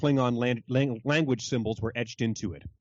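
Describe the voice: The speaker is plainly reading aloud with fairly even intonation.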